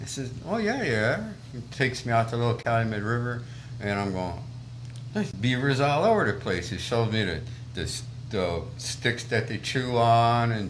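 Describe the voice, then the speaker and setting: Speaking at a moderate pace with medium pitch and ordinary pitch variation, a man is heard with audible room echo and noticeable background noise. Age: 70s. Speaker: trapper and outdoor instructor. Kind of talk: casual interview chat.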